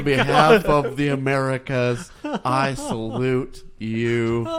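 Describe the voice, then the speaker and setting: A man with a medium pitch speaks at a very slow pace over noticeable background noise. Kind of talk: casual talk to camera.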